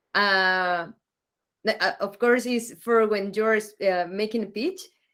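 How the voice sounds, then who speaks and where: A woman with a Spanish accent, fairly high-pitched, at a very slow pace, on a very clean recording with a silent background. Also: fairly even intonation. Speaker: mentor in training. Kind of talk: workshop participant sharing feedback.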